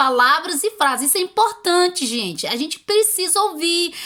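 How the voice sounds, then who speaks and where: The speech has lively intonation at a moderate pace. Noticeable background noise can be heard. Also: woman. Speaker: YouTuber giving language-learning tips. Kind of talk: casual advice video.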